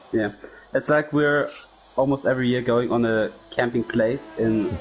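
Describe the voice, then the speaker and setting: With a German accent, a man speaks at a moderate pace and a medium pitch, with ordinary pitch variation. Music plays in the background. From Germany. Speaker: sim racing commentator. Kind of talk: live commentary.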